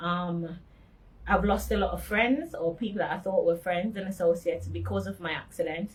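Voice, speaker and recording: Somewhat breathy, a woman speaks with a fairly low pitch at a moderate pace. Her intonation is fairly even. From Jamaica, Montego Bay. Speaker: accident survivor. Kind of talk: testimony. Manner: halting.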